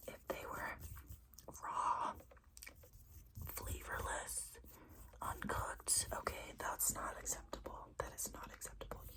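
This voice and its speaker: A woman whispers at a very slow pace with long, frequent pauses, amid noticeable background noise. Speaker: ASMR creator. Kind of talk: ASMR sleep-wishing talk to camera. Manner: soft, whispery, repetitive triggers.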